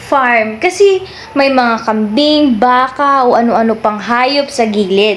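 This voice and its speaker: Over noticeable background noise, a woman with a high pitch speaks at a fairly slow pace and with lively intonation. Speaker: vlogger. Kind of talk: travel vlog narration. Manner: casual, chatty.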